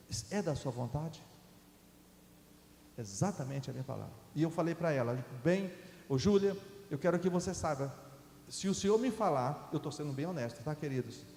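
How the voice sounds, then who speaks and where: Speaking at a moderate pace with lively intonation, a man with a dark, mellow, somewhat breathy tone leaves long, frequent pauses amid audible room echo. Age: 60s. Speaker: guest preacher. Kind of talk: sermon. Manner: halting, with false starts.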